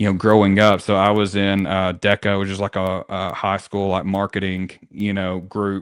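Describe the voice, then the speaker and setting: A man with a Southern accent, fairly low in pitch, flat and monotone, with hardly any pauses. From rural Tennessee. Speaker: real estate team leader. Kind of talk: interview conversation. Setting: podcast. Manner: fast.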